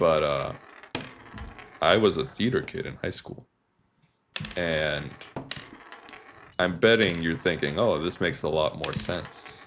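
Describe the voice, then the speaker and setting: Soft-spoken, a man talks at a fairly slow pace with a very deep, low pitch. His pitch varies in an ordinary way, and he takes long, frequent pauses. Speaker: gaming streamer. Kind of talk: casual live-stream commentary. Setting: live stream with game audio. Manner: soft-spoken, ASMR-like.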